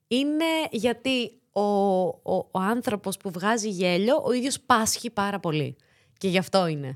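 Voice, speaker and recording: With a plain, everyday voice, a woman speaks in a medium pitch at a fairly slow pace with lively intonation on a very clean recording with a silent background. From Greece, Thessaloniki. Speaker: actress and latin dancer. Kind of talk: casual interview chat.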